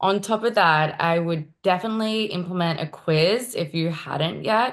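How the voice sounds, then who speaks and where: A woman's medium-pitched voice with an Australian accent, at a moderate pace with ordinary pitch variation, on a very clean recording with a silent background. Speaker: marketing executive. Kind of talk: interview.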